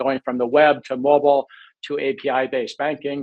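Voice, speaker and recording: At a moderate pace and with an American accent, this is a normal speaking voice. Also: man. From United States. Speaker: fintech company CEO. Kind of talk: webinar panel discussion. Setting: online webinar.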